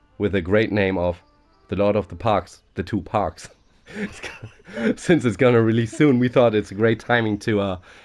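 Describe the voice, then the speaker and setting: With music in the background, a man speaks at a fairly low pitch with ordinary pitch variation. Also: moderate pace. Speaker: gaming YouTuber. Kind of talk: casual chat.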